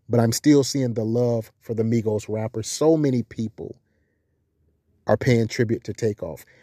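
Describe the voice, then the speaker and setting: A man's medium-pitched, dark, mellow voice with an American accent, at a moderate pace and fairly even intonation, in a very clean recording with a silent background and a dry, close sound with no echo. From South Carolina. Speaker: commentary channel host. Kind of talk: monologue commentary. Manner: emphatic, repetitive.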